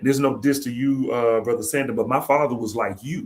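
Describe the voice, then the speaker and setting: Here is a man with an unremarkable speaking voice at a medium pitch. He talks at a fairly quick pace with fairly even intonation. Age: 40s. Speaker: podcast host and former professor. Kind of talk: casual panel discussion. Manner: conversational, many filler phrases.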